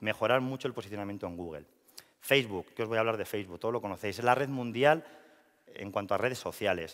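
A man talks at a very fast pace with ordinary pitch variation. The background is quiet. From La Rioja, Spain (Logroño); La Rioja, Spain. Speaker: marketing and communications professional; speaker. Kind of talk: presentation talk. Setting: stage with audience. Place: hall. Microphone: headset.

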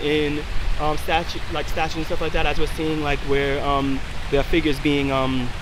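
A man's fairly even intonation over noticeable background noise. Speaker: interviewee. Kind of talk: interview answer. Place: street.

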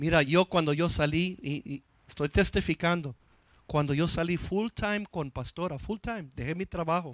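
The man's voice is high-pitched and moves at a moderate pace. The sound is dry with no echo, and the background is quiet. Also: ordinary pitch variation. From US, East Los Angeles; Los Angeles. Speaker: pastor; preacher. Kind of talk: sermon. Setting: church. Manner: halting, frequent repetitions. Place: church. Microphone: handheld.

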